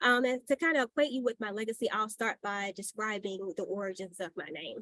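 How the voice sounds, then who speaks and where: A woman with an unremarkable speaking voice, fairly high in pitch, at a moderate pace with ordinary pitch variation, in a dry, close sound with no echo. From US South, rural Georgia (Burke County). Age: 20s. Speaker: postdoctoral researcher, seminar speaker. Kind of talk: seminar talk, personal story.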